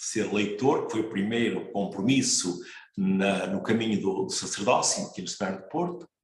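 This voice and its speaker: Fairly slow speech from a man with a fairly low pitch, in audible room echo. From northern Portugal, Marco de Canaveses. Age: 60s. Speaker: priest. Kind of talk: interview. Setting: broadcast program.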